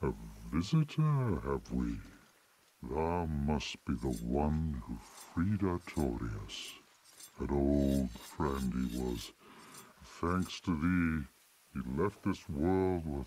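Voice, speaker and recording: Using a put-on character voice, a man speaks very slowly in a very deep, low pitch and a solemn tone, with long, frequent pauses. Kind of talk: archaic fantasy speech. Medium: video game. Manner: slow, solemn, archaic.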